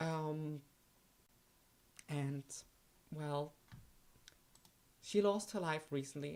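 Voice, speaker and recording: The pace is very slow. A woman talks with a non-native accent. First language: not English. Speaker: YouTube streamer. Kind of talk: live art stream talk. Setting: live stream. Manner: halting, many fillers.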